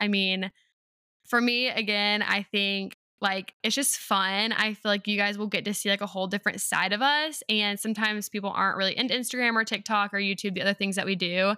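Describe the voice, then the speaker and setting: Speaking with a Southern US accent, a woman uses a medium pitch and a bright, sharp tone, keeping a fairly quick pace and fairly even intonation. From North Carolina. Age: 20s. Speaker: podcast host and teacher. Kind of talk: casual chat.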